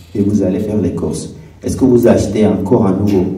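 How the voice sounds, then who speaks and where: This man's speech carries audible room echo. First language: not French; speaks English, another mother tongue (speaking French). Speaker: refugee/newcomer giving testimony. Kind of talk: testimony talk on stage. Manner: halting, many hesitations.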